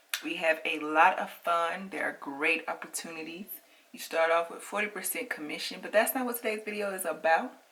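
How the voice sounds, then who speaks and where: With noticeable background noise behind her, a woman talks at a fairly quick pace in a fairly low pitch, her intonation lively. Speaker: makeup reviewer and sales consultant. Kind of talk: product review vlog.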